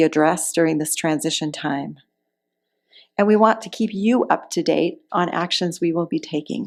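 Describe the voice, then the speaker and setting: A woman with a medium pitch speaks at a moderate pace, using ordinary pitch variation and an ordinary speaking voice. The recording is very clean, with a silent background. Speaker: interim minister. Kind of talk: sermon to a congregation.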